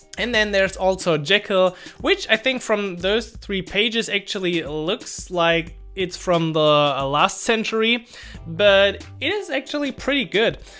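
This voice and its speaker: A man's high-pitched voice at a fairly slow pace, with ordinary pitch variation and faint music in the background. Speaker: developer tutorial creator. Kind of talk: casual tech vlog explanation.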